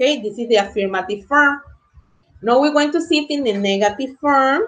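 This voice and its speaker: A woman speaks in a high voice with very wide pitch swings. The background is quiet. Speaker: English teacher. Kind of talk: lecture. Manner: bilingual code-switching, slow explanatory. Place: home room. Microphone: webcam.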